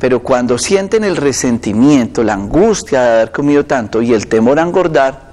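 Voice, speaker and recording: A man talks fairly slowly, his intonation lively. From Colombia. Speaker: doctor. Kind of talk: medical advice on live TV. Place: studio. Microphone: lapel.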